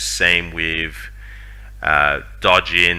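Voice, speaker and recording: A man speaks with a very deep, low voice. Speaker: gaming youtuber. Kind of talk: casual commentary. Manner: hesitant, filler-heavy.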